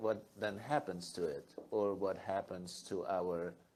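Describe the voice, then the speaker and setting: Very slowly, a man talks in a dark, mellow tone. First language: German. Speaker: photographer. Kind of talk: onstage conversation.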